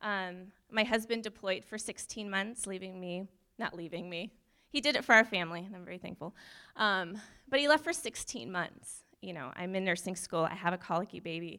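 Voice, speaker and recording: In a very clean recording with a silent background, a woman with a bright, sharp tone and medium pitch speaks at a fairly quick pace, her intonation lively and her loudness swinging widely. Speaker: church member sharing testimony. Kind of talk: testimony. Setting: church with congregation. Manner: nervous, rambling.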